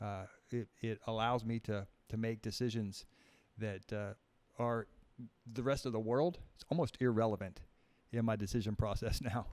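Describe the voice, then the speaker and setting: Long, frequent pauses break up this man's speech. He talks at a moderate pace with a medium pitch and fairly even intonation. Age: 60s. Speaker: author. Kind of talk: casual chat. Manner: halting.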